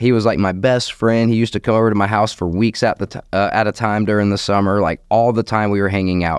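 With a slight Southern US accent, a man races along very fast with hardly any pauses in a fairly low, monotone, flat voice, captured in a very clean recording with a silent background. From US South, Jacksonville area, Florida. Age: 30s. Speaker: recovery coach walking across the country. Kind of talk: interview, personal testimony.

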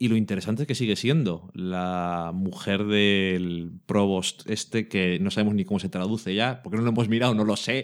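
On a very clean recording with a silent background, a man speaks in an unremarkable speaking voice. His pitch is fairly low with ordinary variation, and his pace is moderate. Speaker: podcast co-host. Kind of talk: casual chat.

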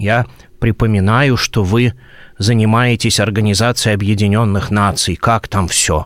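Speech comes at a fairly slow pace in a very clean recording with a silent background. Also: man. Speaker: Orthodox archpriest. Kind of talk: radio interview.

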